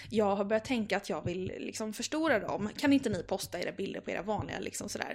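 Talking at a very fast pace with hardly any pauses, a woman uses lively intonation, vocal fry and a medium pitch. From Gothenburg, Sweden. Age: 20s. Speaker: style blogger and teacher. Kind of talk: casual interview.

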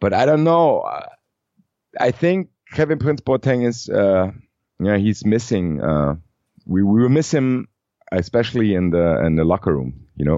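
This man has a German accent and a fairly low voice, moving at a moderate pace. His pitch swings very widely, and his pauses are long and frequent. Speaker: football fan and podcaster. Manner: halting, hesitant.

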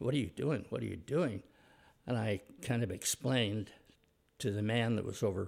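Speaking with an American accent and vocal fry, the voice keeps a moderate pace with ordinary pitch variation. The recording is very clean, with a silent background. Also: man. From Utah (Provo). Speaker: retired business owner. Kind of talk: interview. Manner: halting.

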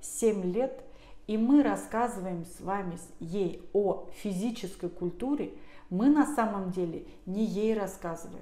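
Very slowly, a woman speaks in a dark, mellow tone, with audible room echo. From Russia, Tver. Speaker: pediatrician. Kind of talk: interview. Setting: office.

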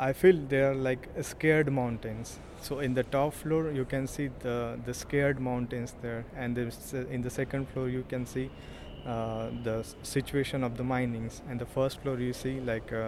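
This man talks at a fairly slow pace at a medium pitch. His intonation is monotone and flat. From India. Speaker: visual artist. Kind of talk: artist talk about own artwork. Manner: halting, many fillers.

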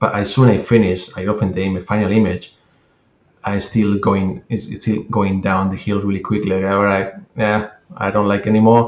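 A man's fairly low voice with fairly even intonation, at a fairly quick pace. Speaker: CGI artist. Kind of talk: casual interview conversation. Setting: video call from London. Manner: halting, searching for words.

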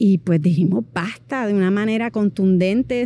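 With a Puerto Rican accent, a woman speaks at medium pitch in a dark, mellow tone. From Puerto Rico. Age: 40s. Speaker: movement artist. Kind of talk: personal interview monologue.

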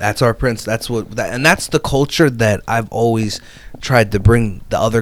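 A man's normal speaking voice in an American accent, fairly low in pitch, with fairly even intonation and a fairly quick pace. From New Jersey. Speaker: business lending broker. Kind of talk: casual interview chat. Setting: in person, Hamilton, New Jersey.

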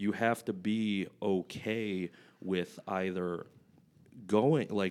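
A man with an American accent speaks with a very deep, low pitch and fairly even intonation. The recording is very clean, with a silent background. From US Midwest, Flint, Michigan. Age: 20s. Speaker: powerlifter and coach. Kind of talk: casual chat.

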